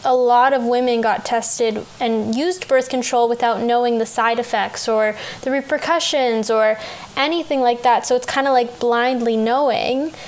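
Noticeable background noise sits behind a woman with a Canadian accent. Her pitch is high and her pace fairly slow. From Canada. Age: 20s. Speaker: podcast host. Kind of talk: interview conversation.

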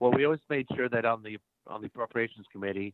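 With an American accent, the speaker talks at a fairly quick pace with ordinary pitch variation. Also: man. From Iowa, US Midwest. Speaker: former congressman and political candidate. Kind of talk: interview.

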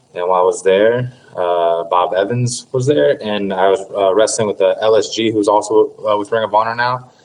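Over noticeable background noise, a man with a fairly low pitch talks with hardly any pauses. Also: ordinary pitch variation, moderate pace. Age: 20s. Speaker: pro wrestler and former collegiate wrestler. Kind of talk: casual interview.

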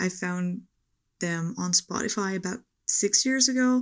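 A woman with a Dutch accent speaks at a medium pitch with ordinary pitch variation. The recording is very clean, with a silent background. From Netherlands. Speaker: listener. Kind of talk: recorded voice message. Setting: recorded voice message.

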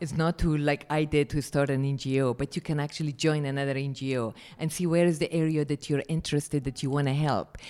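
A woman's very deep, low voice with a dark, mellow tone, monotone and flat, at a fairly quick pace, on a very clean recording with a silent background. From Afghanistan, Kabul. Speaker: education activist. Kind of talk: interview. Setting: conference. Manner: halting.

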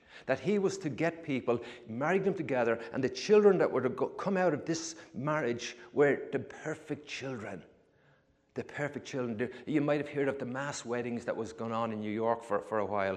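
With an Irish accent, a man talks at a moderate pace in a fairly high pitch, his intonation lively. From Ireland. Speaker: former fisherman. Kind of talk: testimony. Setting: church.

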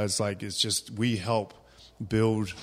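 Speaking with a New Zealand accent, a man uses a fairly low pitch. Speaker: fitness coach and gym owner. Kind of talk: interview.

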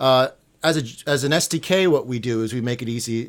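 A man with an American accent talks at a moderate pace in a normal speaking voice with ordinary pitch variation, in a very clean recording with a silent background. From New York. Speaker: tech company co-founder. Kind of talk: interview.

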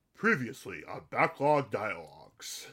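A man puts on a character voice at a medium pitch, raspy and with very wide pitch swings. He delivers it at a fairly slow pace. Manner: very strange, exaggerated voice.

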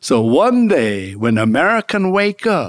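Very slowly and with very wide pitch swings, a man with a Korean accent speaks at a fairly high pitch in a very clean recording with a silent background and a dry, close sound with no echo. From South Korea, raised in Augusta, Georgia. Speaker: political candidate and author. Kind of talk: interview. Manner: animated.

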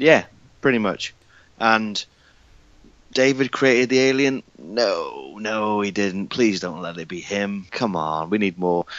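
Speaking with a British accent, this man talks at a fairly slow pace in a fairly low pitch, with ordinary pitch variation. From UK. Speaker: podcaster and filmmaker. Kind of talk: casual chat.

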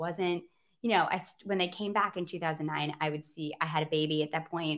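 On a very clean recording with a silent background, a woman with an American accent and a fairly low pitch speaks at a fairly quick pace. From Michigan, outside Grand Rapids. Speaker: podcast co-host. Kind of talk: casual interview chat.

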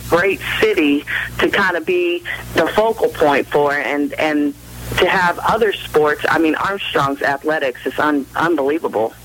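Against noticeable background noise, a woman with an American accent talks at a moderate pace and a fairly low pitch. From Southern California, Orange County. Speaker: women's college basketball coach. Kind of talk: radio interview.

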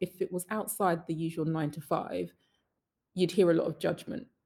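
In a British accent, a woman with a fairly low pitch and a dark, mellow tone talks somewhat breathily at a fairly quick pace. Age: 30s. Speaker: social entrepreneur. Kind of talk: interview.

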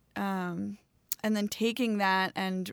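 A woman with an American accent speaks in a plain, everyday voice at a medium pitch, with ordinary pitch variation. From Baltimore, Maryland, US. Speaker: herbalist. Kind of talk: casual chat. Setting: remote recording.

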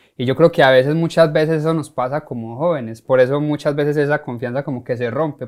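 In a very clean recording with a silent background, a man speaks very fast at a fairly high pitch with fairly even intonation. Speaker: podcast host, life coach. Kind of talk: interview.

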